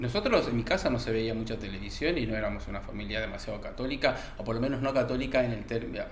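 Amid noticeable background noise and audible room echo, a man talks very fast. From Argentina, rural interior. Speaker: podcast panelist. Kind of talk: casual discussion. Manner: halting, repeats words.

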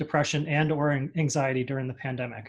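Somewhat breathy, a man talks at a fairly quick pace and fairly high pitch with ordinary pitch variation. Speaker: advertising creative leader, guest. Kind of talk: interview answers.

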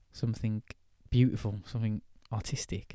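A man with an English accent, medium-pitched and dark, mellow in tone, in a very clean recording with a silent background. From England. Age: 20s. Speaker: podcast host. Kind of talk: casual monologue. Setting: outdoors. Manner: halting.

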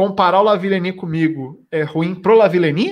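A man talks with a high pitch and ordinary pitch variation. His pace is fairly slow. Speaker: podcast host. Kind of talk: casual chat.

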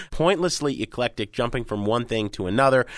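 A man's normal speaking voice at medium pitch, with ordinary pitch variation, in a very clean recording with a silent background. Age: 40s. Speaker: music critic and radio host. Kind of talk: casual chat.

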